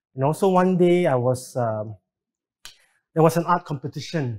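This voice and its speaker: The voice is somewhat breathy. The sound is dry and close, with no echo. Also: man. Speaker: artist and art teacher. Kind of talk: panel interview.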